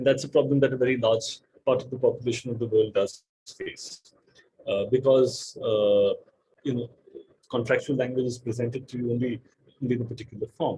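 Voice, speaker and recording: With a dark, mellow tone, a man speaks in a somewhat breathy, medium-pitched voice at a fairly quick pace, using monotone, flat intonation and long, frequent pauses. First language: not English. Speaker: data protection lawyer on expert panel. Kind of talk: panel discussion. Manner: halting, many repeated words.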